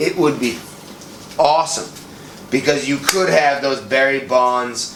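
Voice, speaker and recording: A man with an American accent and a fairly high pitch speaks at a fairly slow pace, with audible room echo and noticeable background noise. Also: ordinary pitch variation. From US Northeast, Boston. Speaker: podcast co-host. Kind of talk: casual chat.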